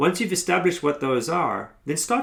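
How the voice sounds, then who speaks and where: The speech moves at a moderate pace with very wide pitch swings, in a South African accent. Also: man. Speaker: consultancy founder and workshop facilitator. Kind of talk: motivational tutorial.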